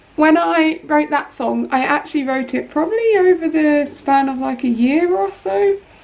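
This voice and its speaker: A woman is speaking. Her pitch is high. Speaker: singer-songwriter YouTuber. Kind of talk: casual vlog talk. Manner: chatty, casual.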